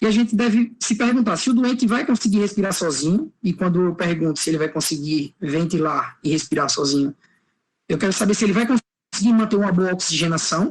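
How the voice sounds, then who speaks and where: Using lively intonation and very even loudness, a man speaks fairly quickly at a high pitch. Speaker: physician lecturer. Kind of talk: lecture. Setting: online class. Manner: fast.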